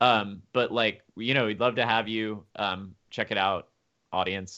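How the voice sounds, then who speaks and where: A man speaks in a plain, everyday voice with an American accent. His pitch varies in an ordinary way. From US South, Memphis. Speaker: tabletop gaming event organizer. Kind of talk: casual interview.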